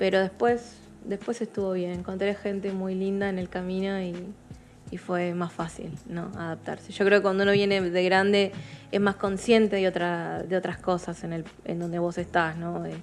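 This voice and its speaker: With music in the background, a woman speaks at a moderate pace in a medium-pitched, flat monotone. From Peru (Chiclayo), raised partly in Argentina. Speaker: photographer. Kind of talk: interview.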